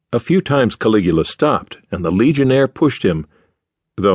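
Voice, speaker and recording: Very wide pitch swings from a man at a fairly quick pace, in a dry, close sound with no echo. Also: quiet background. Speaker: audiobook narrator. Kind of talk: dramatic audiobook narration. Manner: measured, storytelling pace with shifts in voice for characters; serious, formal.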